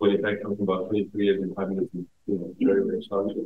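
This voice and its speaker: This is a man talking. His pitch sits fairly low. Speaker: vaccine alliance representative. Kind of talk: panel discussion. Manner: many fillers.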